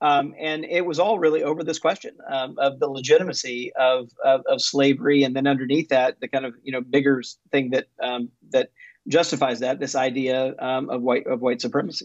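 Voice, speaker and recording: A man's fairly high voice at a moderate pace, with fairly even intonation, dry with no echo and a quiet background. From US South, Mississippi. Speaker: author and religion researcher; guest. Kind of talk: interview. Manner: halting, many fillers. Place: home room. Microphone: video call.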